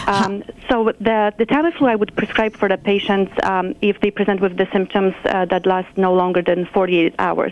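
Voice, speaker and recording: A woman speaks with a Polish accent at a moderate pace, her pitch medium and her intonation fairly even. Her loudness stays very even, and she hardly pauses at all. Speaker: nurse practitioner. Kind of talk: interview.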